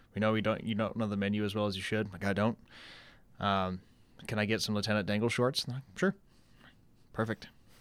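Over a very clean recording with a silent background, a man talks very fast in a fairly low pitch. His delivery is monotone and flat, with long, frequent pauses. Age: 30s. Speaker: bartender and game developer podcast co-host. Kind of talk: casual chat. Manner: halting, many fillers and repeats.

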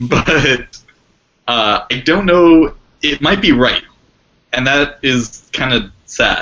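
Speaking very slowly with long, frequent pauses, a man with an American accent uses a fairly high pitch and ordinary pitch variation. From New York. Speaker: panelist. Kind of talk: casual panel discussion on politics.

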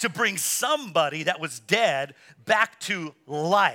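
At a very slow pace, a man projects a raised voice with a bright, sharp tone and very wide pitch swings. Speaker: preacher. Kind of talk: sermon. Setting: church. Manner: animated, rousing call-and-response preaching.

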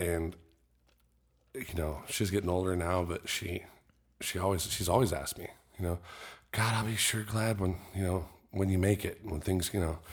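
A man with a very deep, low voice, somewhat breathy, speaks at a moderate pace with fairly even intonation and long, frequent pauses, in a very clean recording with a silent background. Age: 30s. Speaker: musician and drone cameraman. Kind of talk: casual chat.

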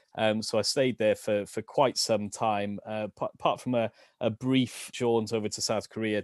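A man speaks with a South Wales accent and ordinary pitch variation. The sound is dry and close with no echo, against a quiet background. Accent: South Wales (Valleys). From Wales, Rhondda Valleys. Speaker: education quality assurance professional and photographer. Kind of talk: casual interview chat. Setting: video call. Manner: halting, repeats words.

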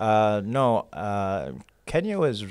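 A man speaks with a New York accent at a fairly low pitch, his pitch varying in an ordinary way. The recording is very clean, with a silent background. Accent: New York American. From New York (Queens). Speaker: poet. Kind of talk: casual chat.

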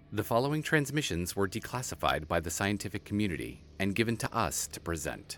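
Recorded very cleanly against a silent background, a man with a fairly low pitch and vocal fry talks at a fairly quick pace with very wide pitch swings and hardly any pauses. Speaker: narrator. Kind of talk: scripted narration.

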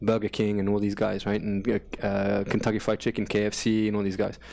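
The man's voice sits fairly low. It has a dark, mellow tone. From England. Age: 40s. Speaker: gym owner. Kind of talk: casual interview.

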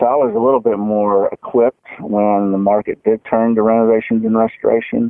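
This man speaks at a fairly quick clip with hardly any pauses, using a medium pitch, a monotone, flat intonation and very even loudness. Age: 50s. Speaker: golf course architect. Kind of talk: interview. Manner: halting, many fillers.

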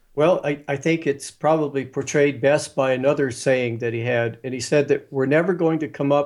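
Here a man with an ordinary speaking voice and a fairly high pitch talks at a moderate pace. His intonation is fairly even, and the recording is very clean with a silent background. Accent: American. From US, West Virginia. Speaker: author and spiritual guide. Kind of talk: interview conversation.

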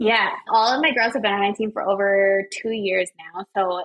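A woman in a plain, everyday voice. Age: 20s. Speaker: wedding photographer and business coach. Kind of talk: casual chat.

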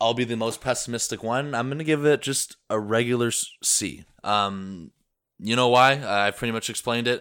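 Moving at a moderate pace with fairly even intonation, a plain, everyday voice comes through in a very clean recording with a silent background. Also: man, medium pitch for a man. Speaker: baseball podcast co-host. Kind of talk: casual sports discussion.

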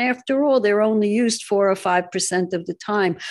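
An unremarkable speaking voice with lively intonation comes through over a quiet background. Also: woman. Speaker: talk radio host. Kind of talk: talk radio monologue and interview.

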